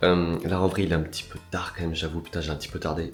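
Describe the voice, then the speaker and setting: A man speaks with a very deep, low pitch. Audible room echo and noticeable background noise come through. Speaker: vlogger. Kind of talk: casual vlog chat.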